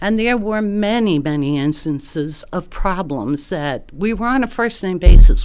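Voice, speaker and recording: A woman with a New York accent talks at a fairly slow pace. Noticeable background noise is audible. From New York area. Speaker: retired nurse, resident giving public comment. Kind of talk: public comment at hearing. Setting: city planning commission meeting.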